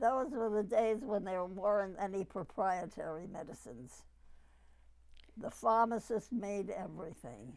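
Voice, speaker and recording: A woman with a New York accent at medium pitch, fairly slow, with lively intonation. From New York City. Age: 80s+. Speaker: retired pharmacist, oral history interviewee. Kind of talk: oral history interview.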